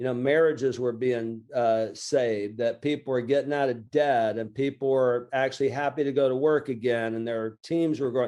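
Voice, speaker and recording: Over a quiet background, a man with an American accent speaks at a moderate pace and medium pitch in a dark, mellow tone, with fairly even intonation and hardly any pauses. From Lower Alabama, USA. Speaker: small business coach and author. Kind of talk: interview answer. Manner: casual, conversational.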